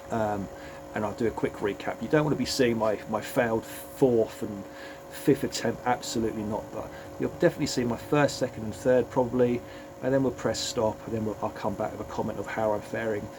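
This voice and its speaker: A man with an English accent talks at a fairly quick pace and medium pitch. His pitch variation is ordinary, with music in the background. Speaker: fitness coach and vlogger. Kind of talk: motivational vlog talk. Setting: home gym. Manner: hesitant, repeats words.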